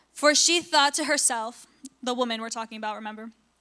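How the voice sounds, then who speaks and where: Projecting her raised voice over a quiet background, a woman speaks at a high pitch with a bright, sharp tone and ordinary pitch variation. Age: 20s. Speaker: youth preacher. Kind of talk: sermon. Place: church. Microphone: handheld.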